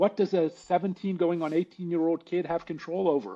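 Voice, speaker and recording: A man with an American accent, high-pitched with a dark, mellow tone, ordinary pitch variation and a moderate pace over a quiet background. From Pittsburgh, Pennsylvania, US. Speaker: attorney and recovery advocate. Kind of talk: interview, personal testimony. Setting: podcast interview.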